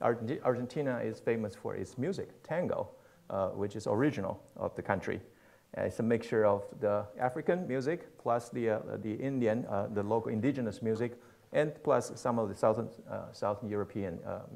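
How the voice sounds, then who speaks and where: A man talks with ordinary shifts in pitch, keeping a moderate speed. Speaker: pastor speaking at missions conference. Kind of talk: sermon. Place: church.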